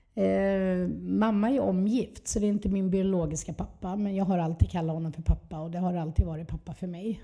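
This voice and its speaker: A dark, mellow tone at a fairly quick pace, with hardly any pauses and fairly even intonation. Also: woman, fairly low pitch for a woman. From Skåne, southern Sweden. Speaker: recovering addict sharing her story. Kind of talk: testimony.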